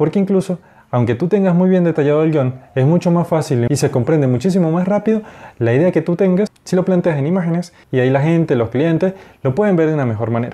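Very fast speech from a man with a fairly high pitch, a dark, mellow tone, ordinary pitch variation and very even loudness. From Venezuela, Mérida; Venezuela. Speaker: animator and graphic designer. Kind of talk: lecture. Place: home room. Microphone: lapel.

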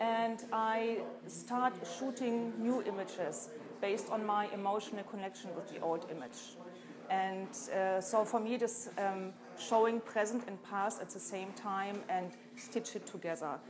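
Over noticeable background noise, the speaker talks at a fairly slow pace with ordinary pitch variation. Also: woman. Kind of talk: interview answer. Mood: calm, reflective. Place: hall.

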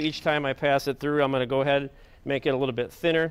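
A man speaks at a very fast pace. There is light background noise. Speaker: guest. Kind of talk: cooking demonstration. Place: studio. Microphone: lapel.

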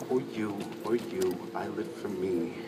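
A man is heard against noticeable background noise. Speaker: spoken word poet. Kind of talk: spoken word poetry performance. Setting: live stage, audience. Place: stage. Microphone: pa.

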